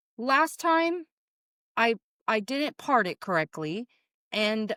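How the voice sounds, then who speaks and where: Loud and fairly high-pitched, a woman speaks with a bright, sharp tone in a dry, close sound with no echo and a very clean recording with a silent background. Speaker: podcast co-host. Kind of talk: casual chat.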